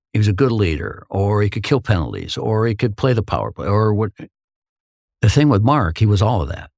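In an Upper Midwest accent, a man speaks at a fairly low pitch with ordinary variation. The recording is very clean and silent in the background, with a dry, close sound and no echo. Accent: Upper Midwest (Minnesota). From northern Minnesota, Hibbing. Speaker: hockey commentator, former pro hockey player. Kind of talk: interview, casual storytelling.

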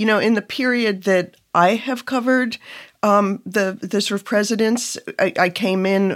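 This plain, everyday voice moves at a moderate pace with ordinary pitch variation on a very clean recording with a silent background. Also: woman. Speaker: journalist and staff writer.

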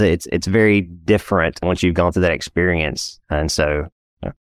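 A man with an East Texas accent talks at a very fast pace with ordinary pitch variation. The recording is very clean with a silent background, dry and close with no echo. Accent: East Texas Southern US. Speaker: financial planner and entrepreneur. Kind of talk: interview. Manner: casual, conversational.

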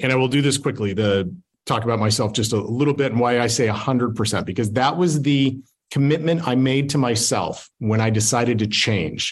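A man with an American accent uses an ordinary speaking voice at a medium pitch. He speaks at a moderate pace with ordinary pitch variation and very even loudness. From Utah. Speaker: family law attorney. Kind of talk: presentation.

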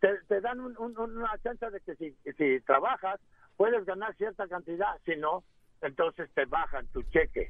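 Lively in intonation, a high-voiced man talks at a fairly slow pace. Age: 60s. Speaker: caller, retired carpenter. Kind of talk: radio call-in.

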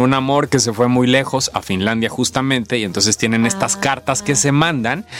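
The speech comes at a moderate pace with ordinary pitch variation, set against noticeable background noise. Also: man. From Tabasco, Mexico. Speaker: actor. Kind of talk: interview.

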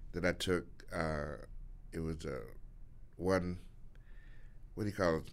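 This man has a very deep, low voice and fairly even intonation. He speaks at a fairly slow pace with long, frequent pauses. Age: 60s. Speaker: stand-up comedian. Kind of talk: casual interview chat. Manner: halting.

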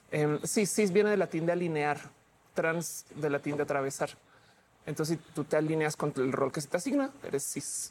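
With ordinary pitch variation, a woman speaks at a very deep, low pitch. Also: moderate pace. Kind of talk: heated debate.

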